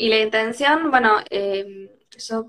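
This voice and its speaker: A woman talks in a Rioplatense accent. Her intonation stays fairly even. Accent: Argentine Rioplatense Spanish. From Argentina, Tandil. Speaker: livestream host. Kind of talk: casual conversation.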